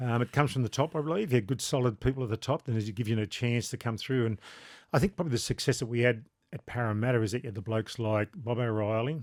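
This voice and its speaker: At a very fast pace, a man with an Australian accent talks at medium pitch with ordinary pitch variation, in a very clean recording with a silent background and a dry, close sound with no echo. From New South Wales, Australia. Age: 60s. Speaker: former rugby league player and shop owner. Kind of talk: casual chat.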